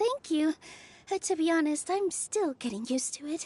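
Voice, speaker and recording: In a put-on character voice, a female-sounding speaker uses an extremely high, squeaky pitch and a warm tone at a moderate pace. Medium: video game. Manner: warm, friendly, slightly bashful.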